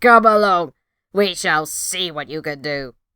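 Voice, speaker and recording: This put-on character voice sits at a middle pitch and moves at a fairly slow pace. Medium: read story. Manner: gruff, conspiratorial.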